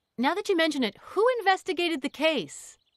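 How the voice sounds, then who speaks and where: Putting on a squeaky character voice, a woman speaks at an extremely high pitch with lively intonation and a fairly quick pace. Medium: video game. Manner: casual, inquisitive.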